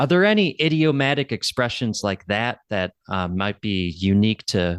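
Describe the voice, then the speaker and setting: A man with a normal speaking voice talks at a fairly low pitch with lively intonation. The background is quiet. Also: dry, close sound with no echo. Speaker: English teacher, podcast host. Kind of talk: podcast intro and interview questions.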